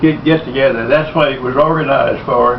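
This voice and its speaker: Over noticeable background noise, a man with a fairly high pitch speaks in fairly even intonation. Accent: Texan. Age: old. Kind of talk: family storytelling.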